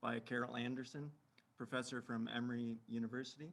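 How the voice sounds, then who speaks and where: A man speaks quietly at a moderate pace. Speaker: librarian presenter. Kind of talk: webinar presentation. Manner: too quiet; halting, many fillers.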